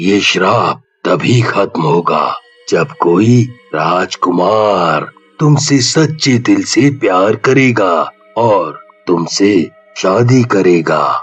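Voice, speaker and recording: Speaking very slowly, this man drags out each word. The voice he uses is a put-on character voice. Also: medium pitch for a man. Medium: read story. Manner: stern, commanding.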